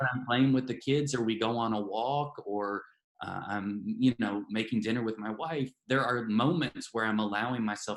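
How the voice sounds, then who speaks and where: A man with a Southern US accent talks at a moderate pace in a medium pitch, his intonation fairly even and hardly any pauses between words. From US South. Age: 40s. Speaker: novelist. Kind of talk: interview. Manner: hesitant, many fillers.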